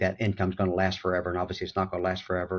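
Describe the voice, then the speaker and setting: A man's very deep, low voice at a very fast pace over a quiet background. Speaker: financial advisor. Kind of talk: interview.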